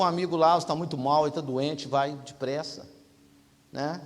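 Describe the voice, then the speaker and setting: A man is speaking. His pace is fairly quick. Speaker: preacher. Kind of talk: sermon.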